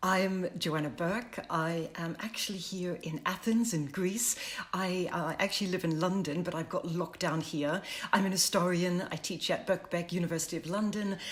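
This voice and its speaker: A woman with an unremarkable speaking voice talks at a moderate pace, fairly low in pitch, with fairly even intonation. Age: 50s. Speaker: history professor. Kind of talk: online panel discussion.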